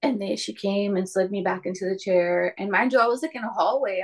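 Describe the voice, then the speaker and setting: At a fairly quick pace, a woman with an American accent speaks at a medium pitch with ordinary pitch variation. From California Central Valley. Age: 20s. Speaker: mother sharing birth stories. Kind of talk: testimony.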